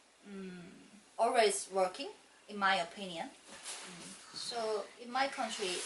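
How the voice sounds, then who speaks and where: Through noticeable background noise, a woman with a medium pitch speaks at a very slow pace, with ordinary pitch variation and big swings in loudness. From South Korea. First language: Korean. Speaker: immigrant homemaker. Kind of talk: mock speaking exam answers. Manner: halting.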